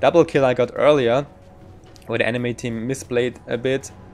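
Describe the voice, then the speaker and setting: Fairly quick delivery from a man at medium pitch. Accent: German. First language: German. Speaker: gaming guide creator. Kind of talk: gameplay commentary tutorial.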